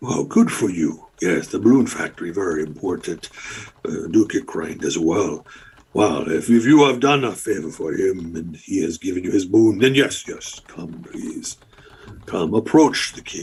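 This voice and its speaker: A moderate pace carries the put-on character voice along. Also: man, fairly low pitch for a man. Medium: actual play. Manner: officious, formal.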